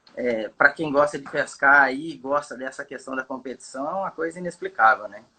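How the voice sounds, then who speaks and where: A man's fairly high pitch, with fairly even intonation, big swings in loudness, a moderate pace and hardly any pauses. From Brazil, Campo Grande, Mato Grosso do Sul. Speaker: bass fishing guide. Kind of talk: casual chat. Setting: live video call. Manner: halting, many fillers.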